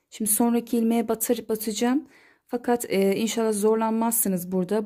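A woman speaks at a fairly quick pace with a fairly high pitch, a dark, mellow tone and fairly even intonation. The recording is very clean with a silent background. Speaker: crochet tutorial maker. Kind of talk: tutorial.

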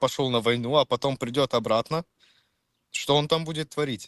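Fairly even intonation over a quiet background. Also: man. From Czech Republic. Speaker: chat stranger. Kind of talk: casual chat.

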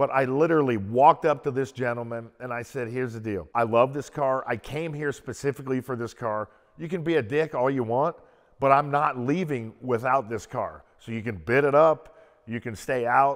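A man talks with ordinary pitch variation at a moderate pace, the background quiet. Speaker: car collector host. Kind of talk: interview-style storytelling. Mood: animated, amused anecdote. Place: garage. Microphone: lapel.

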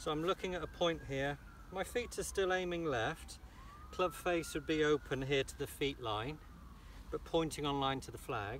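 Over light background noise, a man talks at a moderate pace in a dry recording with no echo. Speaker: golf coach. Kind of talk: tutorial. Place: open country.

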